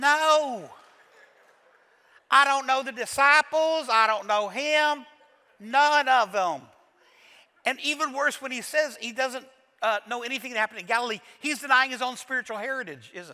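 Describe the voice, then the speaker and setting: In a Kentucky accent, a man speaks with an extremely high pitch, a bright, sharp tone and an animated, raised, projected voice. His pace is moderate with long, frequent pauses, ordinary pitch variation and big swings in loudness. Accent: Kentucky Southern US. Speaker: pastor. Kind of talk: sermon.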